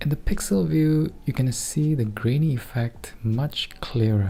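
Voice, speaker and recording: Music plays in the background as a man talks fairly slowly, his pitch varying in an ordinary way. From Singapore. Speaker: digital artist. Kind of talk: software tutorial narration.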